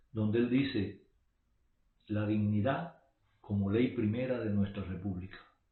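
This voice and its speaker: A man speaks at a fairly slow pace with long, frequent pauses. His pitch varies in an ordinary way. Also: fairly low pitch for a man. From Cuba. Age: 60s. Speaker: political commentator. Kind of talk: monologue.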